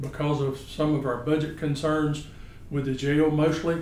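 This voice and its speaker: Audible room echo surrounds a man with a Southern US accent who talks fairly slowly in a fairly high pitch and a flat monotone. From US South, northeast Florida. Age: 60s. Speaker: political candidate, businessman. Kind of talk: candidate interview answers. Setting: office.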